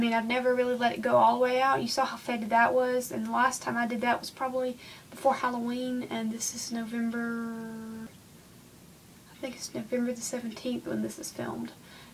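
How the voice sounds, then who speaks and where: Speaking fairly quickly with a Southern US accent, a woman with a high voice keeps a monotone, flat intonation while her loudness swings widely, and noticeable background noise runs underneath. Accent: Southern US country. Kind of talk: casual how-to talk to camera. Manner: chatty, rambling, many fillers.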